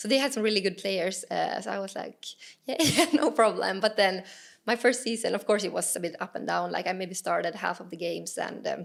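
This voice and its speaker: A fairly quick pace in a Swedish accent. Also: woman. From Finland, Åland Islands. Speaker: professional footballer. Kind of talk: podcast interview. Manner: hesitant, many fillers.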